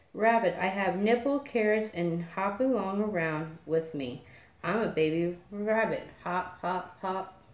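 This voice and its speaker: A woman talks at a fairly slow pace with ordinary pitch variation. Room echo is audible around her voice. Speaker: storyteller. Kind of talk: read story. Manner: soft-spoken. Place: home room. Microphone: phone near.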